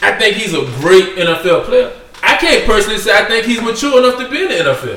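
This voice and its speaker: Amid noticeable background noise, a man talks at a fairly quick pace. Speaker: sports podcast co-host. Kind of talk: heated debate. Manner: loud, interrupting, talking over others; argumentative, insistent.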